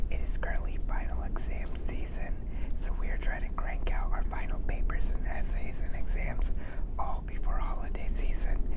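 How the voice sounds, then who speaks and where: A man whispering at a moderate pace, very even in loudness, amid noticeable background noise. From South India. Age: 20s. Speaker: therapy student. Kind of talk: ASMR study hangout talk to camera. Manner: whispered; casual, upbeat.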